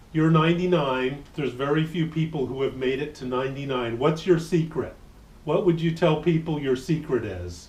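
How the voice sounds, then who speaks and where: The speaker talks at a moderate pace with ordinary pitch variation over noticeable background noise. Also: man, fairly high pitch for a man. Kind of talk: casual talk to camera.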